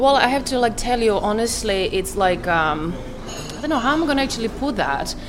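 Amid audible room echo and noticeable background noise, a woman's fairly high voice moves in very wide pitch swings. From Croatia. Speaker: cafe and restaurant owner. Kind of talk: casual chat. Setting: cafe. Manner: fast; swallows words.

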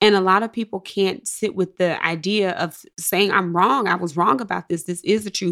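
In a very clean recording with a silent background, a woman with a Mississippi accent speaks at medium pitch and a moderate pace. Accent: Southern US (Mississippi). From US South, Jackson, Mississippi. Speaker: psychologist. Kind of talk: interview.

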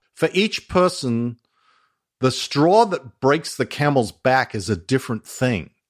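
A man with an Australian accent, medium pitch, very wide pitch swings and a fairly slow pace. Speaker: former Scientology executive and whistleblower. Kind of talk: casual interview chat.

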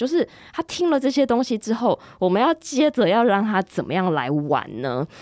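In a Taiwanese accent, a woman talks at a moderate pace with vocal fry and very wide pitch swings. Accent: Taiwanese Mandarin. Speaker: English-learning podcast host. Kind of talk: casual interview chat.

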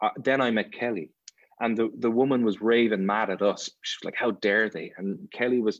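The speaker has an Irish accent and fairly even intonation. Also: man. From Ireland. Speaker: actor. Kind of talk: casual chat.

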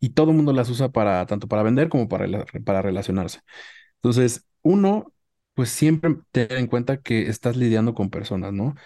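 Over a quiet background, a man speaks at a fairly quick pace. His tone is dark and mellow, with ordinary pitch variation. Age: 30s. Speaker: marketing manager. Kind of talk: interview.

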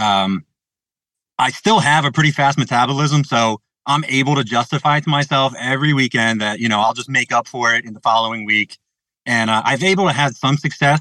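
A man's medium-pitched voice in an American accent, with a bright, sharp tone, ordinary pitch variation, a fairly quick pace, and a dry, close sound with no echo. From New Jersey. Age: 30s. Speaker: caller. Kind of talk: call-in question. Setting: video call. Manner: reading aloud.

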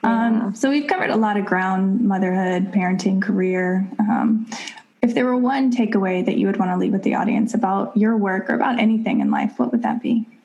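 Noticeable background noise sits under a voice with ordinary pitch variation. The loudness stays very even, and the pace is fairly quick. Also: woman, medium pitch for a woman. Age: 30s. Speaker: podcast host. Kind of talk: casual interview chat.

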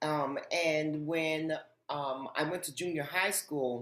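The voice has an American accent and a monotone, flat intonation. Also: woman. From Harlem, New York City. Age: 50s. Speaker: author and TV host. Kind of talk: interview.

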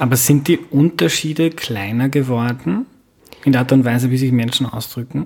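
Somewhat breathy, a man's voice moves at a moderate speed with ordinary pitch variation. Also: medium pitch for a man. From Lower Austria, Mostviertel. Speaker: podcast host. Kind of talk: scripted narration; casual interview.

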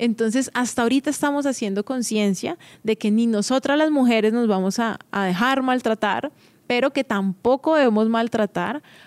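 Recorded very cleanly against a silent background, a woman speaks at a moderate pace and fairly high pitch, with ordinary pitch variation, very even loudness, and a dry, close sound with no echo. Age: 30s. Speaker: podcast host. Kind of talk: casual monologue.

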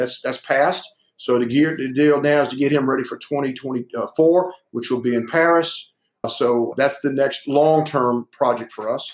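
Speaking with a Southern US accent, a man with a fairly high pitch keeps his intonation fairly even. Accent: Southern US (Georgia). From US South. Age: 60s. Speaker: weightlifting coach. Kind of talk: interview.

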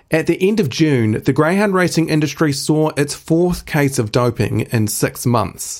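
Recorded very cleanly against a silent background, a man with a New Zealand accent speaks at a moderate pace with ordinary pitch variation. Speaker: podcast host for an animal rights group. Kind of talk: scripted news narration.

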